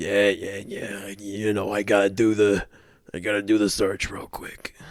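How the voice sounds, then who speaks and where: In a raspy put-on character voice, a man speaks at a moderate pace and a fairly low pitch, monotone and flat, with big swings in loudness. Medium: actual play. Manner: casual, easygoing.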